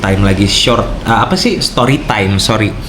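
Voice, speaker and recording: A man at a moderate pace, with audible room echo and noticeable background noise. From Indonesia, outside Papua. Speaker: vlogger. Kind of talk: casual vlog talk. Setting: room at home.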